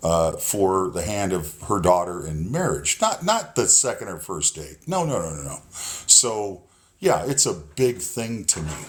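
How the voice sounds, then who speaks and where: A man speaks at a fairly slow pace in a very deep, low voice. His loudness swings widely. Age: 60s. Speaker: caller on live dating discussion. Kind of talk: casual group discussion. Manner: halting, many fillers.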